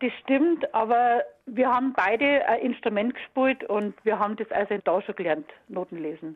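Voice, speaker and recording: A woman with a fairly high pitch speaks at a moderate pace in a plain, everyday voice. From Munich (Aubing), Bavaria. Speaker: former school radio choir singer. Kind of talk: interview reminiscence. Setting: phone call.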